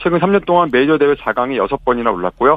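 Pitched in the medium range, a man's words come out at a very fast pace. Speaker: news agency reporter. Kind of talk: radio news report.

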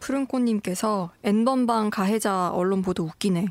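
A woman speaks at a moderate pace in an unremarkable speaking voice, fairly high in pitch. The recording is very clean, with a silent background. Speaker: news reporter. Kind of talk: casual chat. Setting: studio.

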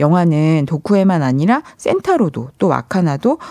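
Recorded very cleanly with a silent background and a dry, close sound with no echo, a woman speaks at a moderate pace with a fairly low pitch and a dark, mellow tone. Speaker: film journalist. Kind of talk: film talk segment. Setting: studio. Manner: soft-spoken, gentle.

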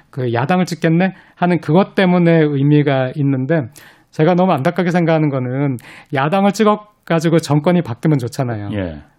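An unremarkable speaking voice from a man, fairly high in pitch, with ordinary pitch variation and a moderate pace. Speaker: professor. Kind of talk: radio interview.

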